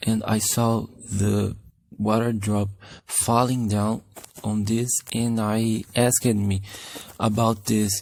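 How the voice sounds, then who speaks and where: Fairly low-pitched, a man with a non-native accent talks in a monotone, flat intonation. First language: Portuguese. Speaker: animation youtuber. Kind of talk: tutorial. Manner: halting.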